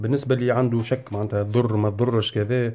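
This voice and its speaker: A man talks against a quiet background with a Tunisian accent. His tone is dark and mellow, and his intonation fairly even. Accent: Tunisian Arabic with French code-switching. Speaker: YouTuber. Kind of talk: casual vlog monologue. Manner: halting, many fillers.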